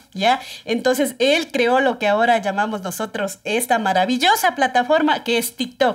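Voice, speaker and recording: A woman speaks with lively intonation at a high pitch. The background is quiet. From Ecuador, Pichincha (Guayabamba). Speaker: TikTok creator. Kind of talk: casual interview chat. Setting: studio. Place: studio.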